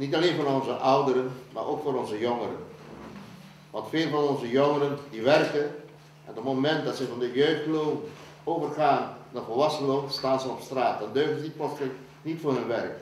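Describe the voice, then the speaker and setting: With audible room echo and noticeable background noise, a man at a fairly high pitch talks at a moderate pace with fairly even intonation. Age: 70s. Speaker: election candidate. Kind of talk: candidate introduction.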